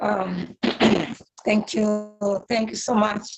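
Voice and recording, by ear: A woman speaks at a medium pitch with a slightly husky edge. Her pace is very slow and her intonation fairly even.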